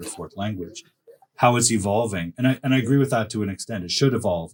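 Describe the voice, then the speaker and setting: A man speaks with a Canadian accent. His voice is somewhat breathy, with lively intonation. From Canada. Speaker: academic writing coach. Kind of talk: casual chat.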